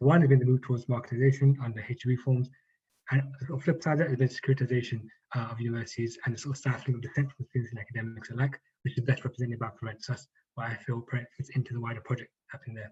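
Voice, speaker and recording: A man's very fast, monotone delivery with flat intonation, a strong London accent, medium pitch, a dark, mellow tone, a somewhat breathy quality and big swings in loudness. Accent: thick Northwest London. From Northwest London. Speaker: activist speaker. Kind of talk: reading a prepared talk.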